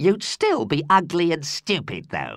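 Raspy and growling, this put-on character voice moves at a fairly slow pace. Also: man. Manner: snarling, insulting.

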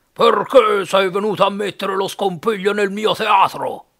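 This man uses a put-on character voice pitched high. His pace is moderate. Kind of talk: audiobook reading.

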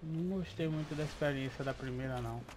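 A man speaking at a fairly quick pace. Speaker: gaming video creator. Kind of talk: casual gameplay commentary.

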